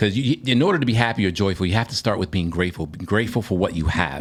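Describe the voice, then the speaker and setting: A man with a fairly low pitch and ordinary pitch variation has an unremarkable speaking voice. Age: 50s. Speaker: podcast co-host. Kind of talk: casual chat.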